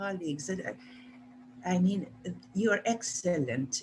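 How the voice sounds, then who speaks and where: Her voice has vocal fry, and the woman's pitch swings very widely. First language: Spanish. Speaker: retired university English teacher. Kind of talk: casual remarks in online meeting. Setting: video call. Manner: halting.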